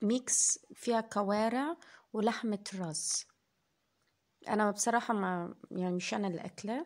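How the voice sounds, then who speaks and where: On a very clean recording with a silent background, a woman with an Egyptian accent speaks very slowly at a fairly high pitch with ordinary variation. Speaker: food vlogger. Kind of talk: casual vlog narration.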